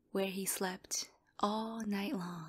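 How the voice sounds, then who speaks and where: A soft-spoken woman's medium-pitched voice, somewhat breathy with a gentle tone. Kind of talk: sleep story. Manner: soft-spoken, gentle.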